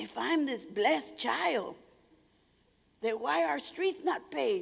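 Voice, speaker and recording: A woman's fairly high voice with vocal fry, very wide pitch swings and a very slow pace. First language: Spanish. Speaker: retired army officer, motivational speaker. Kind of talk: keynote speech with storytelling. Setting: stage with audience. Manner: animated.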